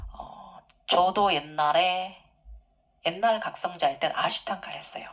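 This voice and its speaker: The woman's voice sits at a fairly low pitch. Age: middle-aged. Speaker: yoga teacher and spiritual channel host. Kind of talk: Q&A monologue.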